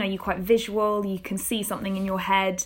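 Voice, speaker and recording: A British accent at a fairly quick pace, on a very clean recording with a silent background. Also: woman. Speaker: podcast host and script executive. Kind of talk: interview conversation.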